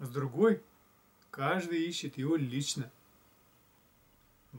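Somewhat breathy, a man's voice sits at a fairly high pitch with ordinary pitch variation. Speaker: spiritual blogger; video blogger. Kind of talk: reflective monologue. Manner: slow; hesitant with fillers. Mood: calm, thoughtful. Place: home room. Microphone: camera far.

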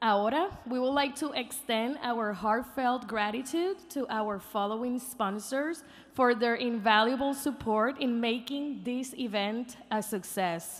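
Here a woman speaks at a fairly slow pace. Her pitch varies in an ordinary way. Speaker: event host. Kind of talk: event announcements. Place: stage. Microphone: podium.

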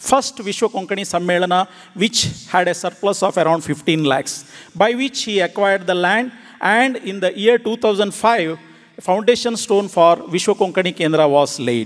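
A man talks with a high pitch, ordinary pitch variation, and a moderate pace. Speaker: conference speaker. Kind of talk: formal speech. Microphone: podium.

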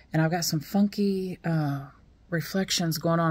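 Using ordinary pitch variation, a woman talks at a fairly slow pace. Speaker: new vlogger. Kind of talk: casual vlog chat. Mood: excited, a bit nervous. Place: home room. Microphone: phone near.

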